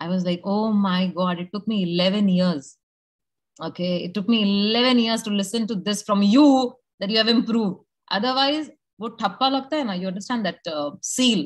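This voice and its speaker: This woman has a medium pitch. Her voice is somewhat breathy. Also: ordinary pitch variation, moderate pace. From India, Uttar Pradesh. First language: Bhojpuri / Hindi. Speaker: network marketing leader. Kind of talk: motivational talk to an audience. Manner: animated; code-switching English and Hindi.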